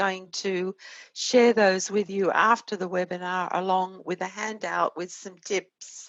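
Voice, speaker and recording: A woman speaks at a very slow pace with an Australian accent. Her intonation is monotone and flat. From Australia (Sydney). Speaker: innovation consultant. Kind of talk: webinar presentation.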